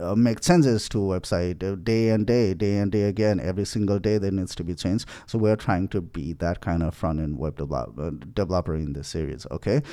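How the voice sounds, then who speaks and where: The voice has a dark, mellow tone, ordinary pitch variation and a fairly quick pace in a very clean recording with a silent background. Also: man, very deep, low pitch for a man. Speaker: programming course instructor. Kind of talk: tutorial. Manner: halting with fillers.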